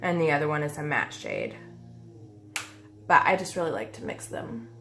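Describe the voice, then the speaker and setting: A woman's very deep, low pitch with audible room echo. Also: moderate pace. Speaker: beauty vlogger. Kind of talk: makeup tutorial. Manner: casual, many fillers.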